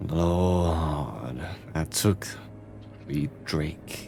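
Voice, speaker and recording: Over clear music in the background, a man does a put-on character voice at a very deep, low pitch. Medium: actual play. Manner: menacing, cryptic, savoring.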